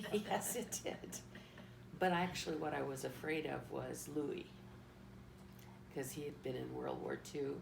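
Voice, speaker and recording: Noticeable background noise and audible room echo surround this recording. A woman speaks at a fairly slow pace. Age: 70s. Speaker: family elder. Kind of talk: casual chat.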